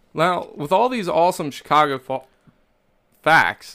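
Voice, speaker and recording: Fairly slow, animated speech in a bright, sharp tone with a slight Kentucky accent, on a very clean recording with a silent background. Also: man. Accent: mild Southern US (Kentucky). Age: 30s. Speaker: podcast host. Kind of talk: casual comedic chat.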